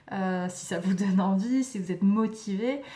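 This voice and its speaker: At a fairly slow pace, a woman with a medium pitch and a somewhat breathy voice speaks with fairly even intonation. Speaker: tarot reader. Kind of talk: tarot reading. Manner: hesitant, many fillers.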